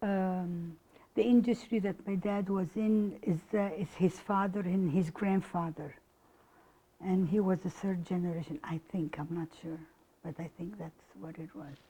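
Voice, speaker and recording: A woman's somewhat breathy, dark, mellow voice at medium pitch, in an Arabic accent, at a fairly slow pace with big swings in loudness. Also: fairly even intonation. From Egypt, Cairo. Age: 60s. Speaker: oral history interviewee. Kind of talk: interview. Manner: halting.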